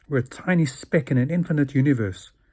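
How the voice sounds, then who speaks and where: A man talks at a moderate pace with a fairly high pitch and ordinary pitch variation. His voice is somewhat breathy. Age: 60s. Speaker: video blogger. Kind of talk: monologue.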